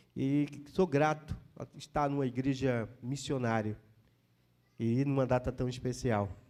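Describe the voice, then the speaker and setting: A man speaks at a very slow pace with a medium pitch and a Pernambuco accent. His tone is dark and mellow. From Pernambuco, northeastern Brazil. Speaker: pastor. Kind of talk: sermon. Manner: halting, with frequent fillers.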